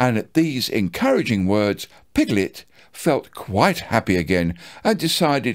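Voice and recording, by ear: The voice reads aloud naturally.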